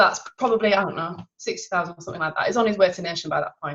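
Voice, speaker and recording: A woman's voice at medium pitch, with ordinary pitch variation. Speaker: sales team trainer. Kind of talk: online team training talk. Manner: fast.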